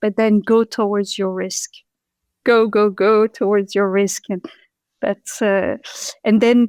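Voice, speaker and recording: In a French accent, a woman with a fairly high pitch speaks very slowly with fairly even intonation and long, frequent pauses, the sound dry and close with no echo. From France (Paris), Moroccan parents. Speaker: patent attorney and entrepreneur. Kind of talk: interview conversation.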